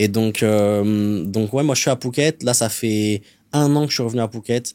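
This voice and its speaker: A man speaks at a medium pitch in a dark, mellow tone with ordinary pitch variation. His loudness stays very even on a very clean recording with a silent background. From France (adopted from Colombia at about 3). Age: 20s. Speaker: sales closer. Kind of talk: podcast interview. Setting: studio.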